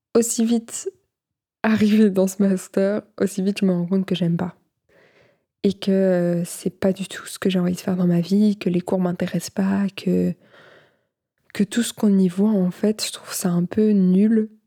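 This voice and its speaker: A woman's somewhat breathy voice with a dark, mellow tone, monotone, flat intonation, a fairly slow pace, and long, frequent pauses, dry and close with no echo on a very clean recording with a silent background. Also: medium pitch for a woman. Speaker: podcast host. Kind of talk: casual monologue. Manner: hesitant, many fillers.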